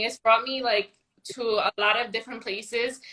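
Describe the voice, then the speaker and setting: A woman's fairly high-pitched voice with fairly even intonation. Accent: New York. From New York. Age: 20s. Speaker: network marketer. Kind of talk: casual chat. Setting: livestream.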